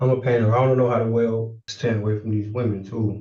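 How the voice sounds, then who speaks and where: Here a man speaks at medium pitch in a dark, mellow, somewhat breathy voice. His intonation is monotone and flat. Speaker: defendant. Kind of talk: court hearing testimony. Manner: halting, repetitive.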